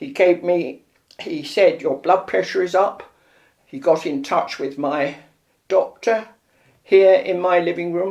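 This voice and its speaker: A woman with a London accent talks at a fairly slow pace, leaving long, frequent pauses. Her intonation is lively, and her loudness swings widely. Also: medium pitch for a woman. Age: 90s. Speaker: elderly patient. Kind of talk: interview.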